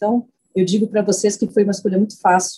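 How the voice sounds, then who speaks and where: A woman's medium-pitched voice comes through somewhat breathy, with a dark, mellow tone. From southern Brazil, Porto Alegre. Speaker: scientist. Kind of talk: interview.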